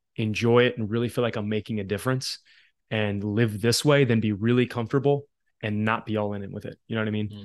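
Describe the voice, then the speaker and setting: A man with an American accent at medium pitch, fairly even intonation and a moderate pace, over a quiet background. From Philadelphia, US. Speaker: basketball trainer and teacher. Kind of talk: casual interview chat.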